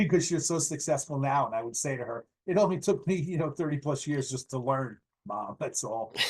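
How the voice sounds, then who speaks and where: With an American accent, a man talks at a fairly quick pace and a fairly high pitch. His voice is somewhat breathy, with ordinary pitch variation. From Westchester County, New York. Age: 60s. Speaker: landscaping business owner. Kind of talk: podcast interview. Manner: halting, many fillers.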